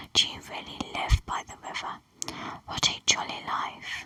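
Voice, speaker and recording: A woman's whispering, put-on character voice at a moderate pace. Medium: read story.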